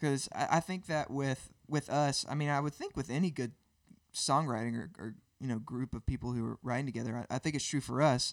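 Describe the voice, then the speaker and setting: Speaking at a fairly quick pace with a Southern US accent, a man with a fairly high pitch and ordinary pitch variation is heard in a very clean, dry, close recording with no echo and a silent background. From Birmingham, Alabama. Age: 30s. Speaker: worship musician. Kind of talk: casual interview.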